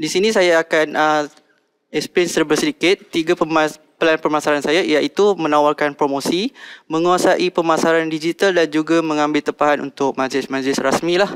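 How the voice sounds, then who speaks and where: Against a quiet background, a man talks at a moderate pace in a fairly high pitch, with fairly even intonation and very even loudness. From Malaysia, Selangor (Shah Alam); Selangor, Malaysia. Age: 20s. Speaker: contestant in a business pitch competition. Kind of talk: business pitch and Q&A. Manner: halting, many fillers. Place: studio. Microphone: headset.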